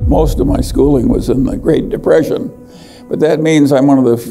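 Faint music plays behind a man speaking at a moderate pace. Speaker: investor, vice chairman of a holding company. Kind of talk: interview answer. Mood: reflective, dry humor. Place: hall. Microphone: lapel.

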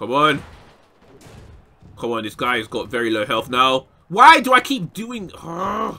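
A man's voice with very wide pitch swings at a fairly slow pace, over noticeable background noise. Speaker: gaming YouTuber. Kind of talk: gameplay commentary. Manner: animated, shouting.

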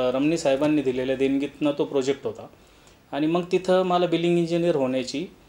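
A man with a high pitch speaks in a dark, mellow tone with fairly even intonation. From Maharashtra, Ahmednagar district (Sakuri village, Rahata taluka); Maharashtra. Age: young. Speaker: builder and developer, civil engineer. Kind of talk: interview, self-presentation. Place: office.

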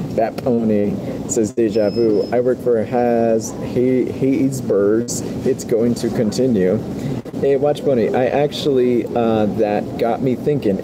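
A man talks at a fairly slow pace amid noticeable background noise. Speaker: live streamer. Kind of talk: casual live-stream chat reading comments. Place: shop. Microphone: phone near.

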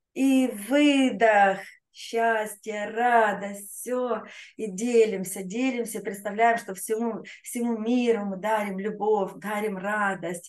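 A woman with a fairly high pitch speaks at a very slow pace in a fairly even intonation over a quiet background. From Russia, Rostov-on-Don. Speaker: laughter yoga trainer. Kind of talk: guided group exercise session. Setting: online video session with chat. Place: home room. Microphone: webcam.

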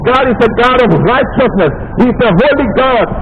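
A man speaks at a moderate pace with an extremely high pitch and ordinary pitch variation. Background noise is clearly audible.

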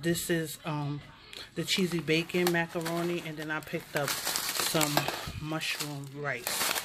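Against faint background noise, a woman speaks slowly in a low pitch with a fairly bright tone and little pitch movement.

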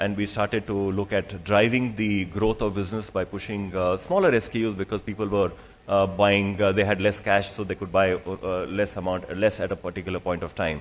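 A man's low voice at a moderate pace, with little pitch movement and few pauses

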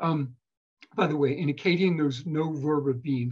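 Somewhat breathy, a man with an American accent talks at a moderate pace and a fairly high pitch. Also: quiet background. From Philadelphia, US. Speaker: archaeologist and author; guest. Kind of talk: interview with lecture-style explanation. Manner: animated, conversational. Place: home room.

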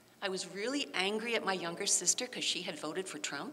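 Over light background noise, a woman talks at a fairly quick pace with lively intonation. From Baltimore, US. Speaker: volunteer crew and educator; educator. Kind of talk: personal testimony. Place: church.

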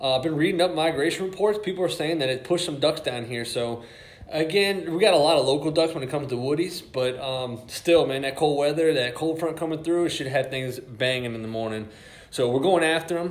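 The pace is fairly quick. Pitch variation is ordinary. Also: man. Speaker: hunting vlogger. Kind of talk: casual vlog chat. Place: garage. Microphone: phone near.

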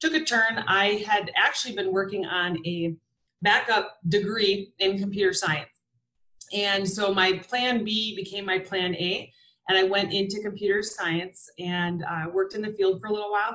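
Speaking in an American accent, this is an ordinary speaking voice at a moderate pace with fairly even intonation. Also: woman. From Wisconsin. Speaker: flight instructor and STEM educator. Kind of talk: webinar presentation.

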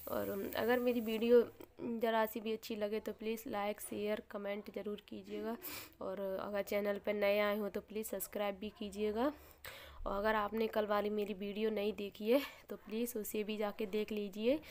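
A woman speaks in a fairly high voice with a flat, monotone delivery. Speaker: vlogger. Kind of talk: casual vlog narration. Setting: at home.

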